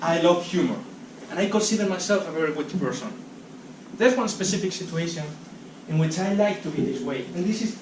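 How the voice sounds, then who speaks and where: High-pitched male speech in a Spanish accent, very fast and with lively intonation, amid noticeable background noise and audible room echo. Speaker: speaker at a talk event. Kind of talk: public talk. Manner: halting.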